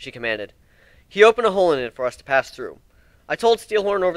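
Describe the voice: What we hear is plain reading aloud.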